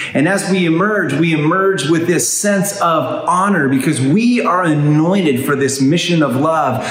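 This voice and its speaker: A man with a fairly high pitch talks at a fairly slow pace with lively intonation over noticeable background noise. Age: 50s. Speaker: pastor. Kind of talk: sermon.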